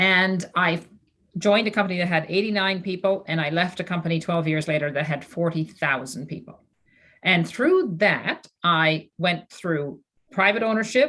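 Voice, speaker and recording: Bright and sharp in tone, a woman's fairly low voice moves at a moderate pace with ordinary pitch variation. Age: 60s. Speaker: former finance executive, philanthropist. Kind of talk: panel discussion. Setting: video call.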